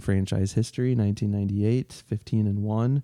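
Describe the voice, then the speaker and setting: A man speaks with a fairly low pitch and a dark, mellow tone in an Upper Midwestern accent. His intonation is flat and monotone, on a very clean recording with a silent background. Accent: Upper Midwestern American. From Minnesota and Iowa. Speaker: podcast co-host. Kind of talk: casual chat. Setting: home basement.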